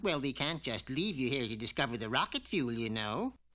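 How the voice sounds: In a cartoonish character voice, a man talks at a fairly quick pace with lively intonation and medium pitch, on a very clean recording with a silent background.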